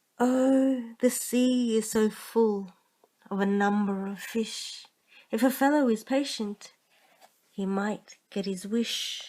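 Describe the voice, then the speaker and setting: A woman speaks very slowly with a fairly high pitch and a dark, mellow tone. Her tone is calm and her intonation fairly even. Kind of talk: bedtime story reading. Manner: calm, monotone.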